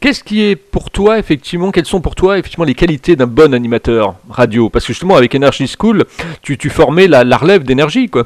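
Very wide pitch swings mark a man's fairly high voice as he speaks at a very fast pace, the sound dry and close with no echo. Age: 50s. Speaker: radio host. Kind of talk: interview. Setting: radio studio.

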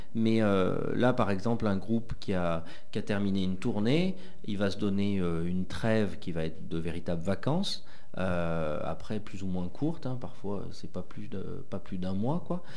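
Audible room echo surrounds a man who speaks slowly-ish, at a fairly slow pace, with a fairly low pitch and ordinary pitch variation. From France, Haute-Loire. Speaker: rock band member. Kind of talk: radio interview. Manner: halting, repeats words.

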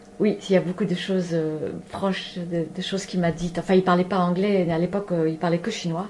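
Over noticeable background noise, a woman speaks fairly quickly in a fairly low, monotone voice with flat intonation. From Spain and Paris. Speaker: animal communicator. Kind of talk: radio interview.

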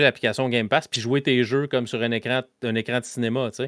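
A man with an ordinary speaking voice talks at a medium pitch and a fairly quick pace, his intonation fairly even. The sound is dry and close with no echo, in a very clean recording with a silent background. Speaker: podcast host guest from another gaming show. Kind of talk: casual chat.

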